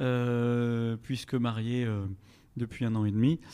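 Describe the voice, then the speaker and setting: With a dark, mellow tone and medium pitch, a man talks with fairly even intonation. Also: very clean recording, silent background. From France, Strasbourg (Alsace). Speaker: podcast guest. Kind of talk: casual chat.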